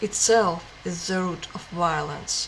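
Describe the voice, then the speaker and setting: A woman talks with ordinary pitch variation over noticeable background noise. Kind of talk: book reading. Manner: slow.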